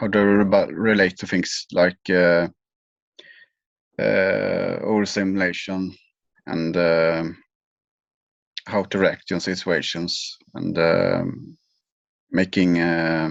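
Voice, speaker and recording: A man with a Swedish accent and a very deep, low voice speaks very slowly in a flat monotone. Long, frequent pauses break up his speech against a quiet background. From Sweden, small west coast town. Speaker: leader of a group for highly sensitive people. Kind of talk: interview answer. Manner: hesitant, halting.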